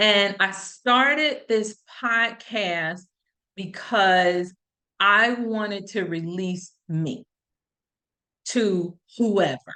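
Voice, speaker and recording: The bright, sharp voice moves at a very slow pace with long, frequent pauses and ordinary pitch variation. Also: woman, medium pitch for a woman. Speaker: podcast host. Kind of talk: solo podcast talk with live chat questions. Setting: live stream with chat. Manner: rambling, halting with fillers.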